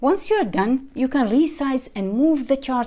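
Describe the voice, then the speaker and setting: A woman with an Arabic accent speaks in a dark, mellow tone. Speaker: software tutorial creator. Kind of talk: tutorial. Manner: friendly, upbeat.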